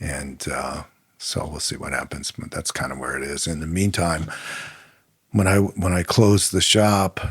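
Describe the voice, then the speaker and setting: Showing vocal fry and big swings in loudness, a man talks at a moderate pace with a very deep, low pitch and ordinary pitch variation. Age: 60s. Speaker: winemaker. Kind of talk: casual chat.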